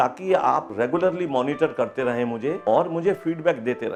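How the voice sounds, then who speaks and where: A man is speaking, his pitch moving in an ordinary way. Behind him, music plays. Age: 70s. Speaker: retired engineering professor, factory owner. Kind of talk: patient testimonial.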